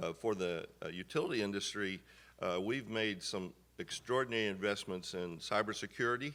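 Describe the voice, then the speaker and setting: A man speaks at a fairly low pitch and a fairly quick pace, with ordinary pitch variation. His tone is bright and sharp, and the recording is very clean with a silent background. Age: 60s. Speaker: utility company executive. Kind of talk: panel discussion. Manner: hesitant, many fillers.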